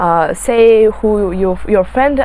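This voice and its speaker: A woman with a Russian accent speaks at a medium pitch amid noticeable background noise. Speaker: beauty vlogger. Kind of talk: casual talk to camera while doing makeup. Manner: halting, many fillers and self-corrections.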